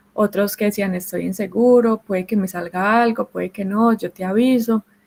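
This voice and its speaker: In a Colombian accent, a woman speaks at a moderate pace with a medium pitch and a dark, mellow tone. Her intonation stays fairly even, and the sound is dry and close with no echo. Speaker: mining engineer. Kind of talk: panel talk. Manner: hesitant, with fillers.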